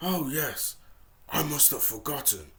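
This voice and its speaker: A man's put-on character voice, raspy and growling, fairly high in pitch and fairly slow. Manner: growling through gritted teeth, grudging.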